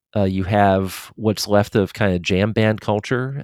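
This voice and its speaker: In a very clean recording with a silent background and a dry, close sound with no echo, an unremarkable speaking voice talks at a fairly slow pace. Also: man. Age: 50s. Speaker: music and sports writer. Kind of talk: casual chat.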